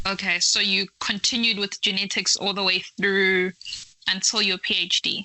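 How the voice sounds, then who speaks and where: Noticeable background noise sits behind a woman speaking at a moderate pace. Her loudness stays very even and her intonation is monotone and flat. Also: medium pitch for a woman. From Malawi. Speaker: podcast host. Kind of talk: interview.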